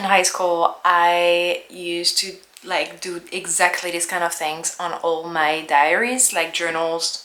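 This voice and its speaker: A woman with a French accent talks at a moderate pace in a fairly low pitch. Background noise is noticeable. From France. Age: 30s. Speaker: lifestyle vlogger. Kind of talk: casual vlog narration. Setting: at home.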